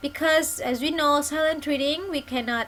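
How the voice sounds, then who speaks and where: Against noticeable background noise, a woman with a non-native accent speaks with ordinary pitch variation. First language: not English. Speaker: graduate student presenter. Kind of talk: academic presentation. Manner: halting, many fillers and restarts.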